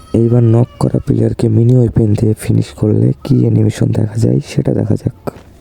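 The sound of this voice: This man's voice is dark and mellow with a slightly husky edge and vocal fry, sitting fairly low in pitch and moving little as he talks at a fast pace.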